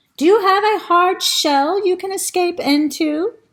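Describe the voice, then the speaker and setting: In a put-on character voice, the speaker squeaks along at a moderate pace with extremely high pitch. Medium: read story. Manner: slow, polite.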